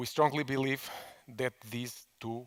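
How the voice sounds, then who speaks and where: A man speaks with a non-native accent at a fairly slow pace. His pitch is medium, with ordinary variation. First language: Portuguese. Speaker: management consultant. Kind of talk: conference talk. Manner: halting, many fillers and repetitions.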